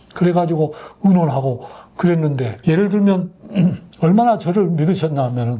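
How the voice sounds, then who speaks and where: Over noticeable background noise, a man's high voice swings very widely in pitch. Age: 80s+. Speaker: retired army general. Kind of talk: interview answer.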